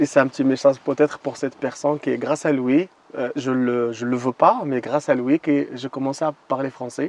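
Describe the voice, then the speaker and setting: Recorded dry and close with no echo, a man talks at a fairly high pitch. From Moroccan desert. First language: not French; learned French as a guide (speaking French). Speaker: desert guide. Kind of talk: interview. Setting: outdoors in the desert. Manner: halting, with many hesitations.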